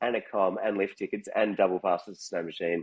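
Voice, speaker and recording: Speaking at a moderate pace with an Australian accent, a man uses a fairly low pitch. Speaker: musician. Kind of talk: casual chat.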